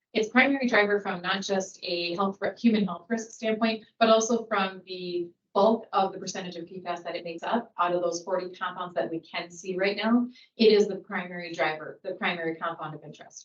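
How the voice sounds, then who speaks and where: A woman's medium-pitched voice at a fairly quick pace, with hardly any pauses, ordinary pitch variation and big swings in loudness. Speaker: geologist presenting to a public board. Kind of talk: technical presentation at a public meeting.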